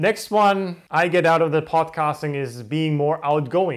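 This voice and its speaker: In a very clean recording with a silent background, a man talks with a non-native accent and ordinary pitch variation. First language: not English. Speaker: podcast host. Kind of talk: solo motivational monologue to camera. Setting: home recording in front of camera. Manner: trying to sound energized.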